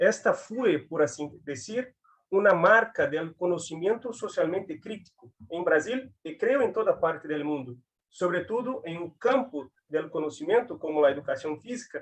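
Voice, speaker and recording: Here a man with a Brazilian accent speaks fairly slowly in a high voice. His intonation is lively, and his loudness swings widely. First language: Portuguese (speaking Spanish). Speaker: physical education academic. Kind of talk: academic talk. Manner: halting.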